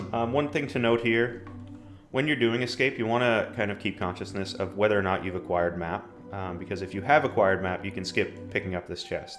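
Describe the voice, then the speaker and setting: With music in the background, a man talks at a fairly quick pace in a fairly low pitch that varies in an ordinary way. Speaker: gaming video creator. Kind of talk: gameplay walkthrough commentary. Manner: fast; casual with frequent filler ums.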